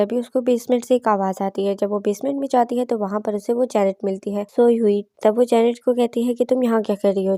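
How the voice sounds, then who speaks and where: Her voice is fairly high with a dark, mellow tone and fairly even intonation. The recording of this woman is very clean, with a silent background and a dry, close sound with no echo. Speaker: movie explainer / voice-over narrator. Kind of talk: movie recap narration.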